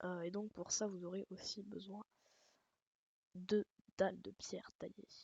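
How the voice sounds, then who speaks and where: A woman speaks at a very slow pace. Her intonation is flat and monotone. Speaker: gaming YouTuber. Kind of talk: tutorial. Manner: hesitant, many fillers.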